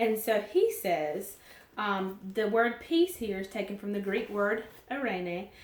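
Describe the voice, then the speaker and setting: Audible room echo surrounds a woman with a Southern US accent, her medium pitch carrying ordinary variation. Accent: southern drawl. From US South. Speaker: Bible teacher. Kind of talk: devotional Bible teaching. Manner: casual, conversational.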